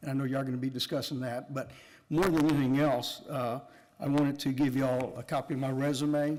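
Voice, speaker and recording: A man's fairly high, monotone voice with an American accent, very fast, with audible room echo. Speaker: resident speaking at council. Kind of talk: public comment. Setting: city council meeting. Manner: loud.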